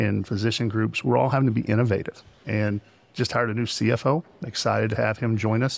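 A man with a Texan accent speaks at a very fast pace, his intonation fairly even. His voice has vocal fry. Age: 50s. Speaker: hospital CEO. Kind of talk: interview. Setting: conference.

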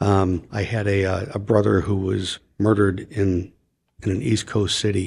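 With an American accent, a man speaks in a somewhat breathy, fairly low voice with fairly even intonation. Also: moderate pace, very clean recording, silent background. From US Midwest (Chicago). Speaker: retired homicide detective and podcaster. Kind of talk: interview. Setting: studio.

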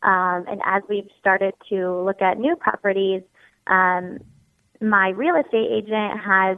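A woman with an American accent has an ordinary speaking voice and medium pitch. She speaks at a fairly slow pace with fairly even intonation. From Ohio. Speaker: caller. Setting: phone call.

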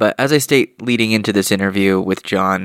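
With an unremarkable speaking voice, a man speaks at a moderate pace with a fairly low pitch and lively intonation, in a dry, close sound with no echo on a very clean recording with a silent background. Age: 30s. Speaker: podcast host. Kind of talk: solo commentary; interview.

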